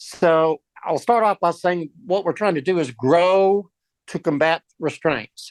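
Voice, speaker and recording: In a Texan accent, a man speaks at a very slow pace with a high pitch and ordinary pitch variation, the sound dry and close with no echo. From Texas, Dallas. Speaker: business owner and EV charger reseller. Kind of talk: presentation. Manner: casual, with fillers.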